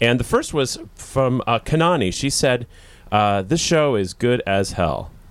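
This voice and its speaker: A man with an ordinary speaking voice and medium pitch talks at a fairly slow pace with lively intonation and very even loudness. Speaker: radio host. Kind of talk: casual chat, live event banter. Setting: festival event, live.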